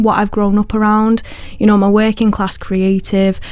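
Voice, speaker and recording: Speaking at medium pitch in a Lancashire accent, a woman keeps a monotone, flat intonation. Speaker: poet. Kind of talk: radio interview. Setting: radio studio.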